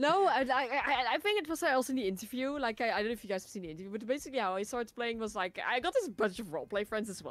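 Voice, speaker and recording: In a Dutch accent, a woman with a fairly high pitch talks at a very fast pace amid noticeable background noise. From Netherlands. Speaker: gaming content creator. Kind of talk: casual chat. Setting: live stream.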